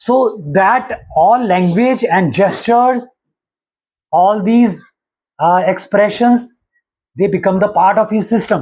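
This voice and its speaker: Very slow with long, frequent pauses, a man speaks at a high pitch with ordinary pitch variation and very even loudness. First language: Punjabi. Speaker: astrology teacher. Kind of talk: lecture. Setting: live stream.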